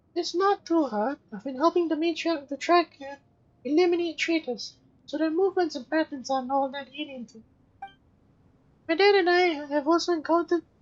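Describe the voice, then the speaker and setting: A woman's put-on character voice, extremely high in pitch and at a fairly quick pace. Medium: fan dub.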